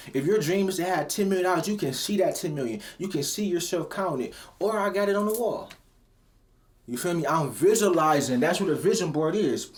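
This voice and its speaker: An American-accented man speaks at a fairly quick pace in a high voice with an animated tone. His pitch varies in an ordinary way, and audible room echo can be heard. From Cleveland, Ohio. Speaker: rapper and motivational vlogger. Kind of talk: motivational talk. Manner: casual, animated.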